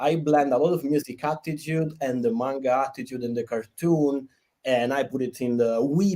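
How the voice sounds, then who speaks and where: In an Italian accent, a man speaks at a moderate pace. His voice is fairly high, with a dark, mellow tone. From Italy. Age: 30s. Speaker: game developer and cartoonist. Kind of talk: interview.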